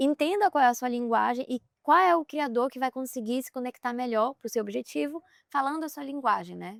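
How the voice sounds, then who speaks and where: Soft-spoken and high-pitched, a woman talks at a fairly quick pace with lively intonation and big swings in loudness, in a very clean recording with a silent background and a dry, close sound with no echo. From Brazil, Pará (Belém). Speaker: content creator and influencer. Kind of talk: podcast interview. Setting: outdoors on a boat at sea.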